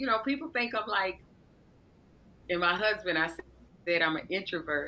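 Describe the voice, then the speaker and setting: The woman's voice has a bright, sharp tone. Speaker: podcast guest, spiritual coach. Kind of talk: interview conversation. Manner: loud and demonstrative.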